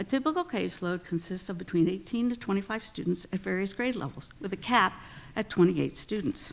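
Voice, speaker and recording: Lively intonation and vocal fry mark a woman speaking at a fairly quick pace. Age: 60s. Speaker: special education teacher giving public comment. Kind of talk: prepared public comment speech. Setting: school board meeting. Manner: formal.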